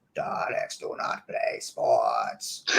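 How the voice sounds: A man puts on a robotic character voice at an extremely high pitch. The sound is raspy.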